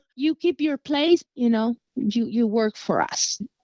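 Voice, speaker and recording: A woman speaks with a Guatemalan accent and ordinary pitch variation. The sound is dry and close, with no echo. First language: Spanish. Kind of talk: recorded listener comment. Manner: halting.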